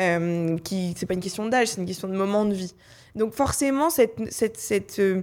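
Heard in a very clean recording with a silent background, a woman has a normal speaking voice at medium pitch, talking at a moderate pace with ordinary pitch variation. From France, Paris. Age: 20s. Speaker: youth association director. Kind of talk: panel discussion.

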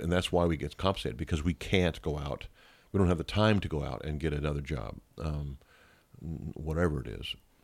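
With vocal fry and a very deep, low pitch, a man talks at a fairly quick pace. His pitch variation is ordinary, and the recording is very clean, with a silent background. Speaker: pastor. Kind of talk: casual interview chat. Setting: pastor's office, not podcast room.

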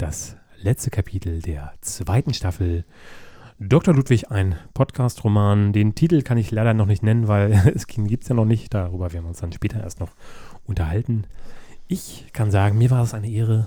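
In a very clean recording with a silent background, a man speaks at a moderate pace with a fairly low pitch, ordinary pitch variation, and a dark, mellow, somewhat breathy tone. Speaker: podcast co-host. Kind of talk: casual chat.

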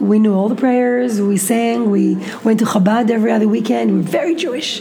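With an Israeli accent, a woman talks at a very fast pace in a fairly high pitch with lively intonation. Noticeable background noise can be heard. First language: Hebrew. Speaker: interview guest. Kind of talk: interview. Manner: halting.

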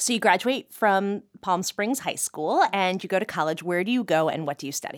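A woman has a normal speaking voice at a medium pitch and moderate pace, with hardly any pauses. The recording is very clean with a silent background. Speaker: interview podcast host. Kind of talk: interview.

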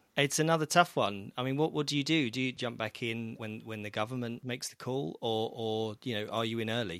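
A man with a British accent and a medium pitch talks at a fairly quick pace with hardly any pauses and ordinary pitch variation, on a very clean recording with a silent background. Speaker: publisher, co-host of finance podcast. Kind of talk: casual chat.

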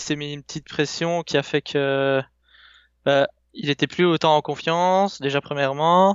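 At a moderate pace, a man with a fairly high pitch speaks in fairly even intonation. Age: 20s. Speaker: esports team leader. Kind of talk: podcast interview. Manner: halting, many fillers and repetitions.

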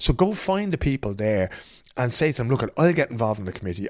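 With an Irish accent, a man talks at a very fast pace in a very clean recording with a silent background. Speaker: podcast host. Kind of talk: casual chat. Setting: studio.

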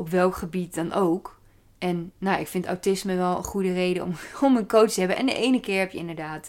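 A woman talks at a fairly quick pace in an ordinary speaking voice. Her pitch is medium, with ordinary variation. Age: 30s. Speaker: podcaster. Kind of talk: casual solo monologue.

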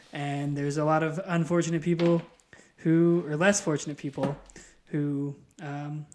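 A man's fairly high, normal speaking voice, with fairly even intonation and a fairly slow pace. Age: 20s. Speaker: pro wrestling referee. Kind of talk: casual chat. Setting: studio.

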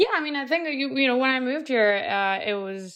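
With a Colombian accent, a woman speaks with ordinary pitch variation against a quiet background. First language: Spanish. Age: 30s. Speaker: entrepreneur. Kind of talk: interview.

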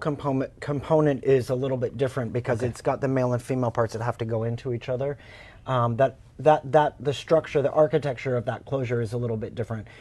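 Speaking at a very fast pace, a man with an American accent and a medium pitch sounds somewhat breathy. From Oklahoma. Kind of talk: casual interview.

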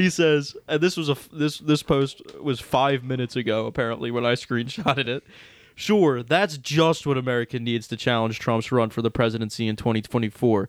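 At a moderate pace, a man talks at a medium pitch with ordinary pitch variation, in an ordinary speaking voice. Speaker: podcast host. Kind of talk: casual comedic podcast banter, reading comments. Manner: joking, laid back, sarcastic.

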